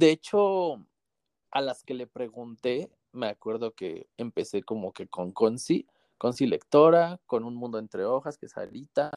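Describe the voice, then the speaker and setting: A man speaks at a very slow pace with lively intonation and a medium pitch. The background is quiet, and the sound is dry and close with no echo. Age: 20s. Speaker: metro train driver and book influencer. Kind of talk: casual chat.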